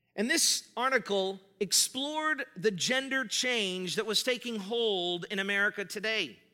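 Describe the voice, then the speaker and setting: A man's raised, projected voice, high in pitch with ordinary pitch variation, animated and bright, sharp in tone, at a fairly slow pace with hardly any pauses. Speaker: pastor. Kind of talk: sermon. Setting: church. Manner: loud.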